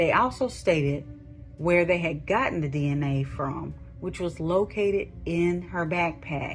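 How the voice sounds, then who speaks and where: With music in the background, a woman of fairly low pitch speaks at a fairly slow pace with ordinary pitch variation. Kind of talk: true crime podcast narration. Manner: calm, immersive.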